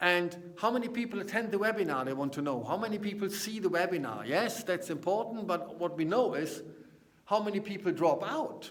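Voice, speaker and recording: A man with a German accent speaks at a high pitch and moderate pace. His intonation is lively, and audible room echo surrounds the voice. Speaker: business consultant. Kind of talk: casual vlog talk to camera. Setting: seminar room. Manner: halting.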